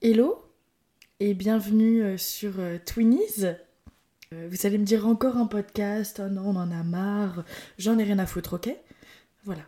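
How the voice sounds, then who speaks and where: Her tone dark and mellow, a woman speaks at a medium pitch and a fairly slow pace, leaving long, frequent pauses, on a very clean recording with a silent background. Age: 20s. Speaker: podcast host. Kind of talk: casual solo monologue. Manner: animated. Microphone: new microphone.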